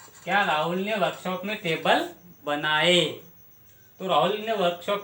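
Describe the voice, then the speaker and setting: The voice is raised and projected, with ordinary pitch variation. Noticeable background noise can be heard. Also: man. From Maharashtra, India. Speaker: English grammar teacher. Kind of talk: grammar tutorial.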